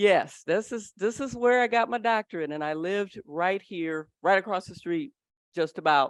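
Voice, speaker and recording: A woman's animated voice at a fairly slow pace, with very wide pitch swings, in a dry, close recording with no echo and a silent background. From US Midwest, Detroit. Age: 60s. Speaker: psychologist, speaker. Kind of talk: conference presentation. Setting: stage with audience.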